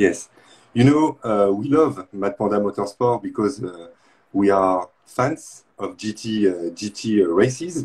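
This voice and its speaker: With a French accent, a man speaks at a fairly slow pace. His fairly low voice has lively intonation. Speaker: live stream host. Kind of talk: interview. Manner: halting.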